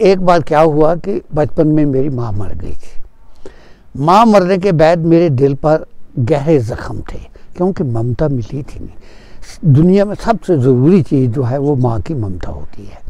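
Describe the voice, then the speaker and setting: The intonation is lively, and noticeable background noise sits under the voice. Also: man, fairly high pitch for a man. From Kashmir, Tral. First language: Punjabi (speaking Hindi). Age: 80s+. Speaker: author and retired teacher. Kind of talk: interview testimony. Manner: halting, with filler sounds.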